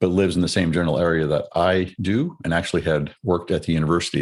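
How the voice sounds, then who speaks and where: A man with an American accent talks very fast in a very deep, low voice with vocal fry and fairly even intonation, recorded very cleanly against a silent background. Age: 60s. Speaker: retired military officer. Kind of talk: interview. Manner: reflective.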